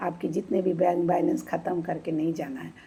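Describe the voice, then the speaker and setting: This woman has a dark, mellow tone, somewhat breathy, with fairly low pitch. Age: 60s. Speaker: retired bank employee giving health tips. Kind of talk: informal health talk to camera.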